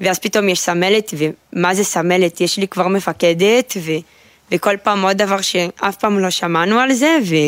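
A voice with a Brazilian accent comes through with a dry, close sound and no echo. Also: woman, medium pitch for a woman, ordinary pitch variation, fairly slow pace, very even loudness. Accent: Brazilian Portuguese accent in Hebrew. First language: Portuguese (speaking Hebrew). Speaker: army sergeant, new immigrant. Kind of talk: interview. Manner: halting.

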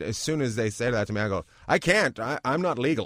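A man with a Canadian accent speaks with lively intonation. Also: very clean recording, silent background. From Canada, Terrace, British Columbia. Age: 40s. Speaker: stand-up comedian. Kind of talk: casual interview chat. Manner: animated.

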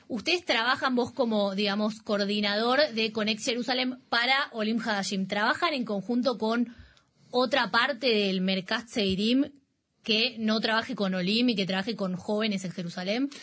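With a plain, everyday voice, a woman speaks at a fairly high pitch and a moderate pace, using ordinary pitch variation. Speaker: radio host. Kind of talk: interview. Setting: studio.

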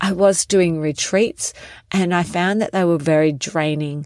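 Speaking in an Australian accent, a woman has a fairly low pitch. The recording is very clean, with a silent background. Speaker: podcast host and wellness coach. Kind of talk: solo podcast monologue.

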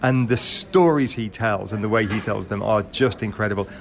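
With noticeable noise behind it, the speech keeps a moderate pace and ordinary pitch variation. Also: man. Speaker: radio station staff member. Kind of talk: casual chat.

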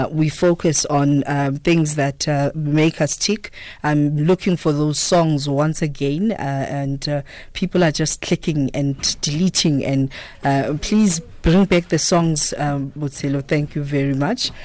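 Pitched very deep and low, a woman speaks at a fairly slow pace with fairly even intonation and a dark, mellow tone. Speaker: radio host. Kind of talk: radio interview. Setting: radio studio.

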